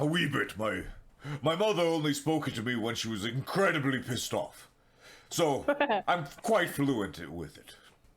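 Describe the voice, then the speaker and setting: Here a man puts on a character voice. It sits fairly high for a man. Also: moderate pace. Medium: actual play. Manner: gruff, commanding.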